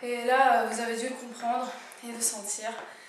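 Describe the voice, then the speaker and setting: Over noticeable background noise and audible room echo, a woman speaks very slowly with a high pitch and a monotone, flat intonation. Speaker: fitness instructor. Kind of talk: workout tutorial. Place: home room. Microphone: camera far.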